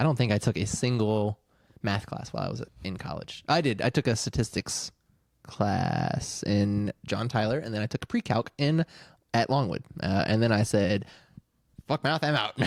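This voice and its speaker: In an American accent, a man talks at a medium pitch and a moderate pace in an ordinary speaking voice with ordinary pitch variation, the sound dry and close with no echo. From US South, Virginia (Chester). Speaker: podcast host. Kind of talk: casual chat.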